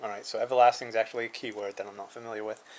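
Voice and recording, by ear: Talking at a very fast pace, a man with a fairly low pitch and a slightly mellow tone shows little pitch movement.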